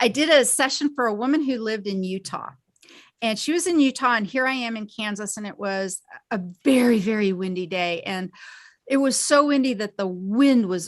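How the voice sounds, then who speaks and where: In an unremarkable speaking voice, a woman with a fairly high pitch and lively intonation talks at a moderate pace against a quiet background. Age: 60s. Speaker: quantum healing practitioner and teacher. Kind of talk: interview.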